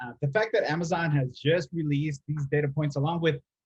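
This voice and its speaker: A man talks at a fairly quick pace in a fairly high, somewhat breathy voice with fairly even intonation. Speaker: podcast host, account strategy director. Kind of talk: casual business podcast discussion. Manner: fast.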